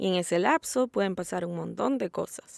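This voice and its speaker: Recorded very cleanly with a silent background and a dry, close sound with no echo, a woman with a Salvadoran accent speaks at a medium pitch and fairly slow pace with lively intonation. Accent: Salvadoran accent, now speaking it normally. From El Salvador. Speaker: podcast host. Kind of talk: solo podcast narration. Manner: neutral Spanish in intro, then natural accent.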